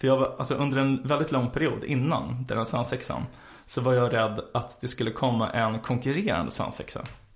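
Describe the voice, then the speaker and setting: In an ordinary speaking voice, a man talks at a fairly quick pace. His pitch is medium, with ordinary variation. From Sweden, Stockholm. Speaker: podcast co-host. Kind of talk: casual chat. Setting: studio, in person.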